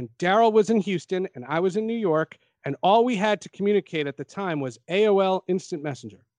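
A high-pitched man with an American accent talks at a fairly quick pace with lively intonation. The sound is dry and close, with no echo. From New Jersey. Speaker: sports journalist. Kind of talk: casual chat.

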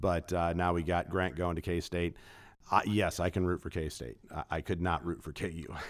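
Speaking with an American accent, a man with a very deep, low pitch and vocal fry keeps his intonation fairly even on a very clean recording with a silent background. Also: moderate pace. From Kansas City area. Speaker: personal wealth manager. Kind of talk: casual interview.

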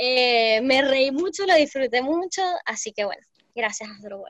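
A woman speaks fairly slowly in a high voice with ordinary pitch variation. The sound is dry and close, with no echo. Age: 20s. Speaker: shop owner. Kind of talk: casual chat.

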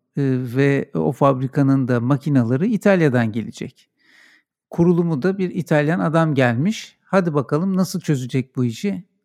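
A man speaks in a normal speaking voice with lively intonation at a moderate pace. The sound is dry and close, with no echo. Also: fairly high pitch for a man. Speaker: podcast host. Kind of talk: casual interview.

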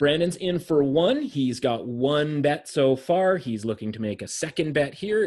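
Lively intonation marks this man's fairly high voice as he talks at a moderate pace. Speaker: sports betting podcast host. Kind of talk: mock auction, calling bids on bets with friends. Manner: auctioneer-style patter: going once, going twice, sold.

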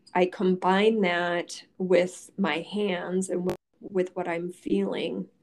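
With an American accent and fairly even intonation, this is an ordinary speaking voice. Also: woman. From Michigan, Detroit area. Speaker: osteopathic physician. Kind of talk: interview.

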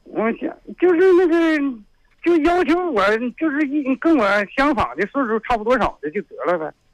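Very wide pitch swings and long, frequent pauses at a moderate pace, in a northeastern Chinese accent, with a dry, close sound and no echo. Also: man, extremely high pitch for a man. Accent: northeastern Mandarin. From Heilongjiang, rural county near Harbin. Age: 60s. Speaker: caller seeking a partner. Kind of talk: phone-in chat. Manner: loud; halting.

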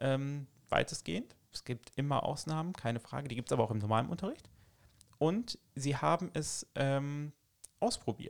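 In a dry, close recording with no echo, a man with an unremarkable speaking voice talks at a moderate pace with a fairly high pitch and lively intonation. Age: 30s. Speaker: teacher. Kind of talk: casual interview.

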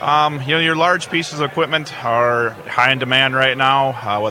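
A man with an Upper Midwest US accent, a moderate pace and ordinary pitch variation, amid noticeable background noise. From southeastern Minnesota, near Lake City. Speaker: insurance agent. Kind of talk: radio interview. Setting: outdoor farm remote broadcast. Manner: halting, repeats words.

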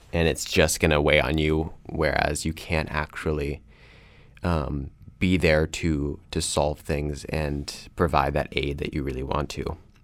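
In an American accent, a man speaks with a very deep, low pitch, vocal fry, monotone, flat intonation and a fairly slow pace. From North Carolina (Kannapolis, near Charlotte). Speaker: college student. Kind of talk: casual chat.

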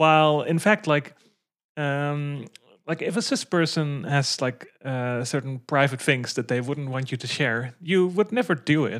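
Very deep, low pitch from a woman, at a fairly slow pace. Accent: Dutch. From Netherlands. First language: Dutch. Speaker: podcast co-host. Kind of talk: casual chat. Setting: remote call.

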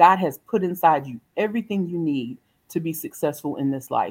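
A woman's fairly low voice in a Southern US accent, lively in intonation, at a moderate pace. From US South, South Carolina. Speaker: motivational speaker. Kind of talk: interview.

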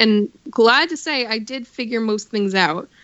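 A fairly high-pitched woman's voice at a moderate pace, with an American accent. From New York. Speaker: voice actor. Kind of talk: casual chat. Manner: animated.

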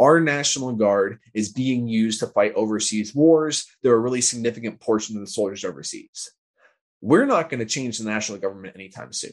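At a fairly quick pace, a man with an unremarkable speaking voice talks at medium pitch with ordinary pitch variation against a quiet background. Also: big swings in loudness. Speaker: political organizer. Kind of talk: casual interview conversation.

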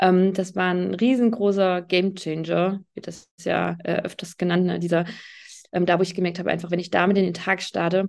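Against a quiet background, a woman speaks at a moderate pace. Her medium-pitched voice has monotone, flat intonation. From Hesse, near Fulda. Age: 30s. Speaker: yoga teacher and Ayurveda health advisor. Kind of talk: interview. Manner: hesitant, many filler sounds.

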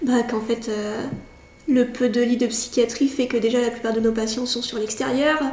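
Noticeable background noise sits behind a woman's high voice. She speaks at a moderate pace with monotone, flat intonation. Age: 20s. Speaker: psychiatric nurse. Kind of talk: interview.

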